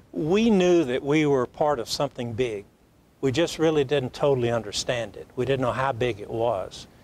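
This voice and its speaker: A man's medium-pitched voice in a Southern US accent, at a moderate pace with ordinary pitch variation. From US South, Alabama. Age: 80s+. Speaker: plastic surgeon. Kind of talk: talk show interview.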